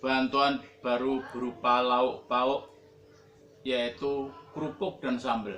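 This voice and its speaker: Over noticeable background noise, a man talks very slowly at a medium pitch with fairly even intonation. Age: 70s. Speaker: motorcycle taxi driver. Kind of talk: public appeal monologue. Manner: formal.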